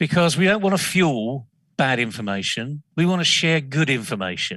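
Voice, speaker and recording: In a passionate, bright, sharp tone, a man makes very wide pitch swings while keeping very even loudness against a quiet background. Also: fairly high pitch for a man, moderate pace. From northern England, Leeds. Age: 60s. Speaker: business consultant, CEO. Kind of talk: interview discussion.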